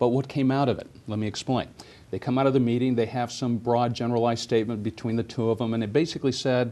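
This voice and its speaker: Speaking at a very fast pace, a man uses a medium-pitched voice with a dark, mellow tone and monotone, flat intonation. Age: 60s. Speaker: political commentator. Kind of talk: TV talk show interview.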